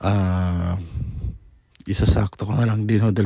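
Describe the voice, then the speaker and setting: In a very clean recording with a silent background and a dry, close sound with no echo, a man with a dark, mellow, somewhat breathy voice at a fairly low pitch speaks at a fairly slow pace. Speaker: faith vlogger, devotee. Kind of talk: personal testimony narration. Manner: polite, earnest.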